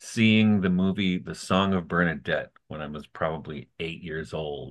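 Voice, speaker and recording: Very deep and low in pitch, a man's voice shows vocal fry. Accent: American. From US Midwest. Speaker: podcast host, poet and professor. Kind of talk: podcast interview conversation.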